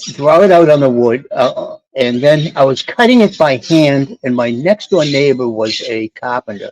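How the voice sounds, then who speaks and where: Using lively intonation, a man with a fairly high pitch speaks at a moderate pace in a dry, close sound with no echo. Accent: Boston. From Boston, Massachusetts. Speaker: sailor. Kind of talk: casual chat.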